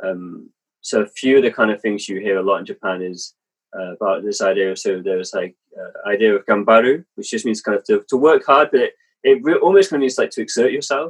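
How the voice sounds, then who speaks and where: In an English accent, a man talks at a very fast pace in a dry, close sound with no echo. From England. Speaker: missionary and author. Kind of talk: casual interview. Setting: video call.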